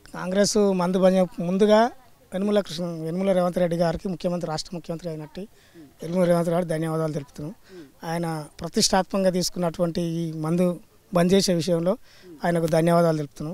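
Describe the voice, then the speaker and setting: With a dark, mellow tone and a high pitch, a man speaks in a monotone, flat intonation on a very clean recording with a silent background. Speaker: former village sarpanch. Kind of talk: interview answer.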